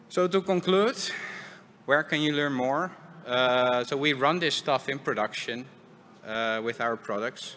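Over light background noise, a man talks at a fairly slow pace in a medium pitch with ordinary pitch variation. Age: 30s. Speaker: software engineering lead. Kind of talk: conference talk. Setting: stage with audience. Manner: halting. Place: stage. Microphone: headset.

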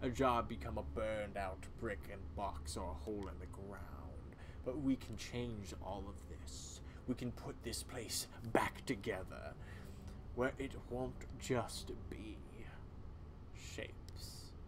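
Against loud background noise, a man puts on a character voice with fairly low pitch at a fairly slow pace. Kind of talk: solo game voice acting. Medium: solo performance. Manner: grim, storytelling, bitter.

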